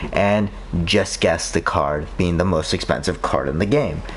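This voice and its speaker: Lively intonation from a man at a moderate pace, with noticeable background noise behind him. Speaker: gaming streamer. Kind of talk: casual chat. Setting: live stream.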